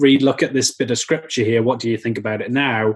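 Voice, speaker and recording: A man speaks at a medium pitch in a Welsh accent, his intonation monotone and flat. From Wales. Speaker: vegan activist. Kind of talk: podcast interview.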